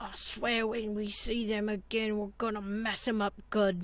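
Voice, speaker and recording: Using a put-on character voice, a woman speaks at a fairly high pitch and a moderate pace with monotone, flat intonation. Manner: gentle.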